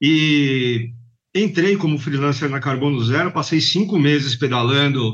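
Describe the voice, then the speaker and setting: An unremarkable speaking voice from a man, fairly high in pitch, with ordinary pitch variation. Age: 50s. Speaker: bike courier company manager. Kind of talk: interview.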